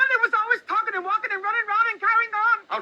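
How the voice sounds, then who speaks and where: Doing a put-on character voice, a woman talks very fast in a squeaky, extremely high pitch with monotone, flat intonation. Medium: stage play. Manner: broken-grammar dialect, pleading, repetitive.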